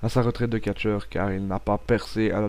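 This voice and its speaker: A man with a Belgian accent speaks in a dark, mellow tone. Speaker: wrestling podcast host. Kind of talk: pre-recorded audio show monologue. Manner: hesitant, with fillers and repetitions.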